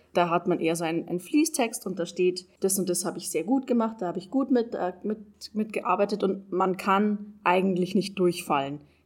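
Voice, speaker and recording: At a moderate pace, a woman with a plain, everyday voice speaks in a medium pitch with ordinary pitch variation. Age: 20s. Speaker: trainee educator. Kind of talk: interview.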